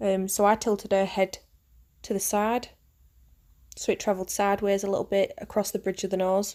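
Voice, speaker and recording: A woman with a northern English accent speaks fairly quickly at a medium pitch, in a dark, mellow tone. Her intonation is monotone and flat, on a very clean recording with a silent background. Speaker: makeup artist. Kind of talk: tutorial. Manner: hesitant, many fillers.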